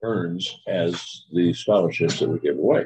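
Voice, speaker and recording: This man has a very deep, low pitch. His tone is dark and mellow. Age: 80s+. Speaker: retired automotive technician and scholarship donor. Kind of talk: informal talk to a class. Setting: classroom, recorded for online students. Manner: halting, with many fillers.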